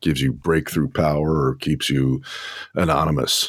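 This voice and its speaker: A man with a very deep, low voice and vocal fry speaks at a moderate pace in a dry, close sound with no echo. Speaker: radio show host. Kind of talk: casual chat. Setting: live stream.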